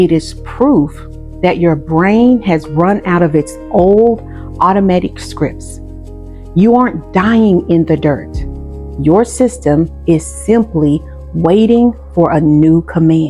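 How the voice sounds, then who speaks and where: The speech moves at a very slow pace with very even loudness, while music plays in the background. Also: woman. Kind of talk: sermon-style spiritual masterclass talk. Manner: earnest, deliberate, emphatic.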